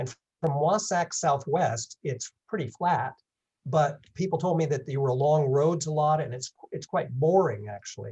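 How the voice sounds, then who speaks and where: A man speaks at a moderate pace in a fairly high pitch. His voice is somewhat breathy, with a dark, mellow tone. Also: ordinary pitch variation. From England. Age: 70s. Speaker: long-distance hiker giving a talk. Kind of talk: presentation with Q&A.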